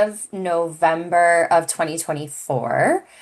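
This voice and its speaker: Over a quiet background, a woman with a Wisconsin accent speaks at a very slow pace. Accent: Midwest, Wisconsin. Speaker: clinical social worker, family services director. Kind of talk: podcast interview.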